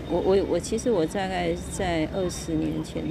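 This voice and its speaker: A woman is speaking. There is audible room echo and noticeable background noise. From Taiwan, Kaohsiung. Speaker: podcaster, former teacher. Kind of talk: casual monologue. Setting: outdoors at a harbor. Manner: halting, frequent repetitions.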